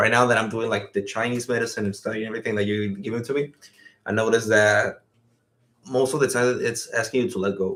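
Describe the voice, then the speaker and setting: A man with a Spanish accent talks at a very fast pace, his medium-pitched voice keeping a fairly even intonation. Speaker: podcast co-host. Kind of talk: casual chat. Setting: live stream.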